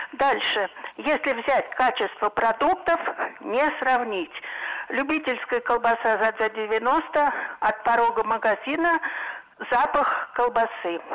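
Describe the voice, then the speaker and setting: A woman with a high voice talks at a very slow pace, leaving long, frequent pauses. Noticeable background noise runs underneath. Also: ordinary pitch variation, very even loudness. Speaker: caller. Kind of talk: phone-in comment. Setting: phone call.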